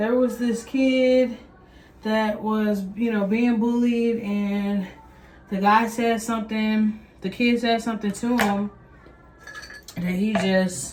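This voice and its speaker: Noticeable background noise sits behind a voice with a Texas accent that moves at a very slow pace with long, frequent pauses. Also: woman, fairly high pitch for a woman, fairly even intonation. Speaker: vlogger and parent. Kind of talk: casual vlog chat. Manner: conversational, filler-heavy.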